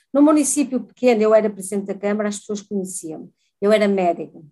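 Speaking at a very fast pace, a woman has a fairly high pitch and a dark, mellow tone. Her intonation is lively. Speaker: former mayor, politician. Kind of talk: interview.

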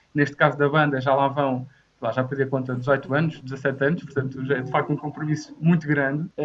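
Delivering his words at a fairly quick pace, a man speaks with monotone, flat intonation. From Portugal, Torres Novas. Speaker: volunteering program coordinator. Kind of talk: casual debate. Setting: video call from home.

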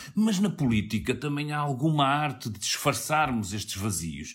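At a moderate pace, a man with a fairly high, somewhat breathy voice swings very widely in pitch. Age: middle-aged. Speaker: radio political podcast host. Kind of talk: political panel discussion.

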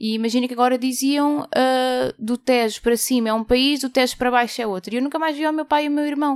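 A woman's high voice at a very fast pace with hardly any pauses and fairly even intonation, on a very clean recording with a silent background. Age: 20s. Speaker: journalist. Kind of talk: interview.

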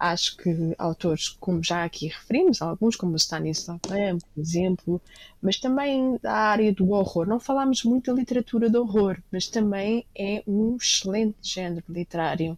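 A woman with an unremarkable speaking voice talks at a fairly slow pace with ordinary pitch variation, in a dry, close sound with no echo. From Lisbon, Portugal. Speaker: restaurateur and book editor. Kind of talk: interview conversation.

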